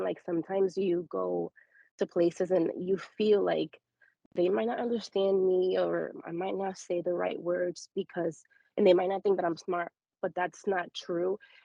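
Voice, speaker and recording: A woman with a slight Spanish accent speaks at a moderate pace. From Dominican Republic, moved to US at seven. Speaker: discussion participant. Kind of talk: casual group discussion.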